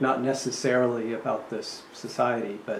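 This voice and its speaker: At a moderate pace, a man talks at a medium pitch. Room echo is audible, and background noise is noticeable. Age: 70s. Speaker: historical society interviewer. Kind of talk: oral history interview.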